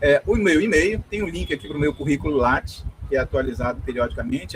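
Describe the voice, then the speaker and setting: A man speaks in a Belém accent. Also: dry, close sound with no echo. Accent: Paraense accent from Belém. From northern Brazil, Belém, Pará. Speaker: university professor. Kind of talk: lecture. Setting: video call. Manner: fast.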